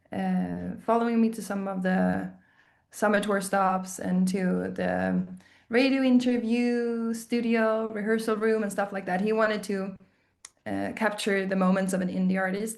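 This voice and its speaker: A woman in a Swedish accent at medium pitch, monotone and flat, at a fairly slow pace, with audible room echo. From southern Sweden. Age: 30s. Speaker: indie musician. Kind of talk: casual interview. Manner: halting.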